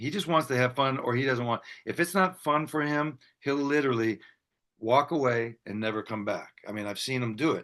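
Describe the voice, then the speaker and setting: Speaking at a moderate pace, a man has a bright, sharp tone, a medium pitch and ordinary pitch variation. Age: 60s. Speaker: bass player. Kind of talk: casual chat.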